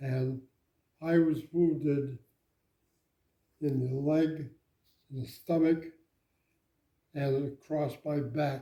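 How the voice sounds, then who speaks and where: With long, frequent pauses, a man speaks at a very slow pace in a fairly high pitch, his tone dark and mellow and his intonation monotone and flat. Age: 90s. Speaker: war veteran. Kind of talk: interview. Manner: halting.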